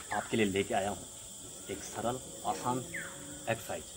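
Noticeable background noise sits behind this voice. A man talks with fairly even intonation. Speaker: fitness vlogger. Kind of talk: tutorial intro. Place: open country. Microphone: camera far.

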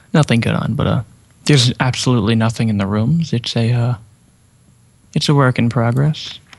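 A man at a medium pitch speaks with ordinary pitch variation and long, frequent pauses. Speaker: subscriber, server owner. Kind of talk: casual game tour talk.

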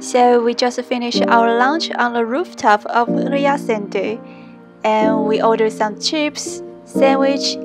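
A woman speaking at a very slow pace over loud background music. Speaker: travel vlogger. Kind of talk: casual vlog chat. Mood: cheerful, slightly shy. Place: street. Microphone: phone near.

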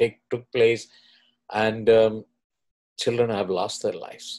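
A man talks fairly slowly, with a quiet background behind him. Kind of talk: video commentary introducing recorded clips. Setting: screen-share video recording. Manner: earnest, slightly halting with fillers. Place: home room. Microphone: webcam.

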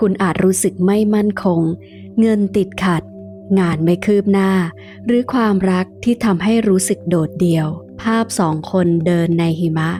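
With music in the background, a woman talks at a medium pitch, her intonation fairly even and her loudness very even. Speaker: tarot reader and teacher. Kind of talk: tarot reading with a sales pitch for her course.

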